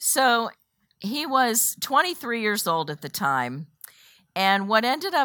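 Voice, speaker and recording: Speaking fairly slowly, a woman lets her pitch swing very widely. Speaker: women's Bible study teacher. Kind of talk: Bible study lesson. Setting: room with live audience. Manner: casual, uses many fillers.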